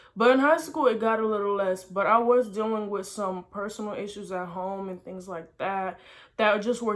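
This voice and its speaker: A woman speaks at a fairly quick pace with an American accent. Her pitch is medium, with ordinary variation. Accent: slight African, mostly American. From Senegal and Houston, Texas. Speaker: vlogger. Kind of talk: personal storytelling vlog.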